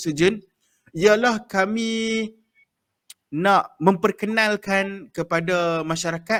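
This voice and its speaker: A man's high-pitched voice in a northern Malaysian accent, with fairly even intonation and a fairly slow pace. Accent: northern Malay dialect. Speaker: podcast host. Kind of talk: casual chat. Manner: hesitant, many fillers.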